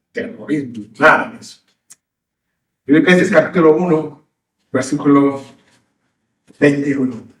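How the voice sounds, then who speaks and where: A man with a fairly high pitch speaks with lively intonation and long, frequent pauses. Audible room echo surrounds his voice. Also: fairly slow pace. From Mexico, Yucatán (Mérida). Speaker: pastor. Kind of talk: sermon.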